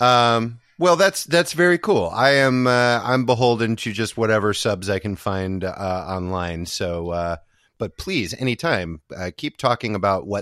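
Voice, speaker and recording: A man's normal speaking voice with lively intonation at a fairly slow pace, dry and close with no echo against a quiet background. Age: 40s. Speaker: podcast host. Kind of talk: casual chat. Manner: joking, playful.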